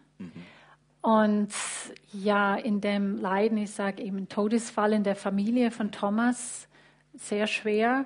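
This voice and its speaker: A woman with an English accent speaks at a very slow pace and medium pitch, somewhat breathy. Her intonation is monotone and flat, with long, frequent pauses. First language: English (speaking German). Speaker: church member sharing faith story. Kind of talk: testimony. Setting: church service with livestream. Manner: halting, many fillers.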